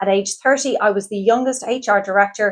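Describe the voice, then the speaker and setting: This is a woman speaking. She has an Irish accent. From Ireland. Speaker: career coach. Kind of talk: sales pitch. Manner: enthusiastic.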